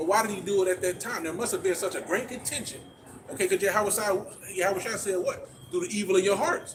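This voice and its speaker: Amid noticeable background noise, a man with a high-pitched voice talks very fast with ordinary pitch variation. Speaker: street preacher. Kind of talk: street preaching. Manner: stuttering.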